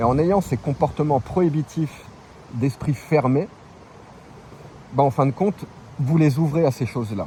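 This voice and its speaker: Pausing long and often, a man with a fairly high voice talks at a fairly slow pace with ordinary pitch variation. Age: 40s. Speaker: travelling vlogger. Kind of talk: opinion monologue. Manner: casual, hesitant with repetitions.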